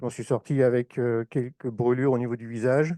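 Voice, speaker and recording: A man with a northern French accent speaks in a dark, mellow tone at medium pitch, with fairly even intonation and a moderate pace. The sound is dry and close with no echo, over a quiet background. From northern France, Oise (Compiègne). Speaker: former firefighter, association speaker. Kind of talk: conference talk. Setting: conference hall with audience.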